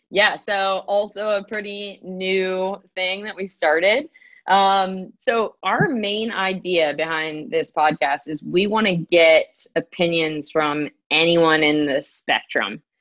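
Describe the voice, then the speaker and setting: A woman's medium-pitched voice in an American accent, at a very slow pace with ordinary pitch variation. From US South, North Carolina (Durham). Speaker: physical therapist and triathlon coach. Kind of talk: casual interview.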